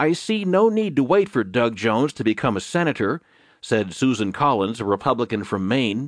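A man with an unremarkable speaking voice, medium pitch, lively intonation and a moderate pace, recorded dry and close with no echo against a quiet background. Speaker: audiobook news narrator. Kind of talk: news reading, scripted digest of newspaper articles. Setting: studio recording, audiobook. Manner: formal, even and measured newsreader delivery; steady, unemotional pace, clear enunciation.

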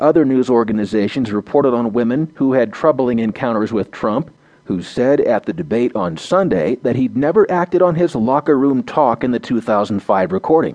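A man with a normal speaking voice at medium pitch, lively intonation, a moderate pace and hardly any pauses. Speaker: audio news narrator. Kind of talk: formal news reading of front-page articles. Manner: formal, measured, even-paced newsreader delivery; neutral and steady, reads headlines and bylines in crisp, clear tones.

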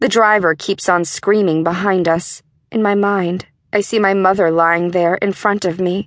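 The clip is plain reading aloud with fairly even intonation over a quiet background.

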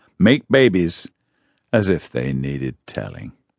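The recording is dry and close with no echo. A man talks at a moderate pace with very wide pitch swings. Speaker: audiobook narrator. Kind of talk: audiobook narration, retelling a Bible story. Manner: warm, storytelling tone with light humor; measured, expressive pacing with dramatic pauses.

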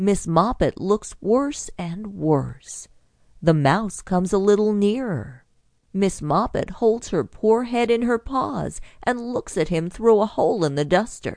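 A woman talks with a normal speaking voice at medium pitch. Her intonation is lively, her pace fairly slow, and the background quiet. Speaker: audiobook narrator. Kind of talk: audiobook bedtime story narration for children. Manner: gentle, storytelling, lightly playful; clear, measured pacing for young listeners.

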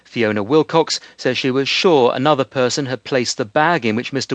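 This man has a plain, everyday voice at medium pitch, with ordinary pitch variation and a moderate pace. The sound is dry and close with no echo, over a quiet background. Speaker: news correspondent. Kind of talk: news report.

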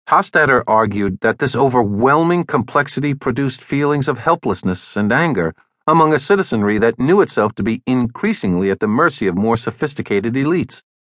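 With lively intonation and hardly any pauses, a man talks in an unremarkable speaking voice at medium pitch. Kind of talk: audiobook narration. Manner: formal; measured, even-paced.

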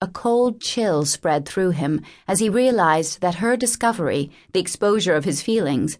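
Lively intonation in a natural reading voice

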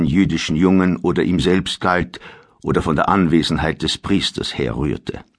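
Against a quiet background, a man with a very deep, low pitch and vocal fry speaks with ordinary pitch variation. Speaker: audiobook narrator. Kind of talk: dramatic audiobook narration of historical fiction. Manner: gravely dramatic, slow and suspenseful.

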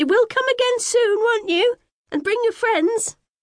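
Putting on a squeaky character voice, a woman speaks at a moderate pace in an extremely high pitch. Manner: voice rising.

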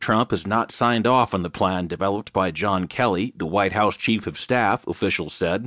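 Against a quiet background, the speaker goes at a moderate pace with ordinary pitch variation, and the sound is dry and close with no echo. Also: man. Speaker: audiobook narrator. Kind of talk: news reading, scripted newspaper digest. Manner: formal, even-paced and neutral; steady, measured delivery with clear headline-style emphasis.

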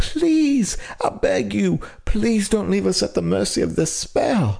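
A man puts on a character voice, speaking fairly slowly at a fairly high pitch. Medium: read story. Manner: pleading, desperate.

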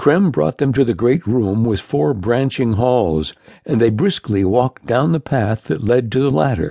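A natural reading voice is heard here.

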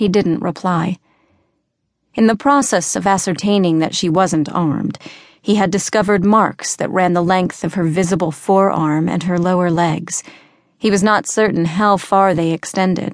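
An ordinary speaking voice moves at a moderate pace with fairly even intonation over a quiet background. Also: woman, medium pitch for a woman. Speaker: audiobook narrator. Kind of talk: audiobook narration of fantasy fiction, reading aloud with character voices.

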